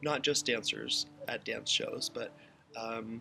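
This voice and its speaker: With music in the background, a man talks in fairly even intonation. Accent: American. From Waynesburg, Pennsylvania. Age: 20s. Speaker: modern dancer, choreographer and yoga teacher. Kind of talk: interview answer.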